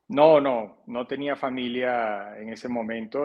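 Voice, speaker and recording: This man's voice sits at a medium pitch. The intonation is fairly even throughout. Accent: Caribbean Colombian. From Colombia, Barranquilla (Caribbean coast). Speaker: financial advisor. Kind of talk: interview. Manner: halting, many repetitions and fillers.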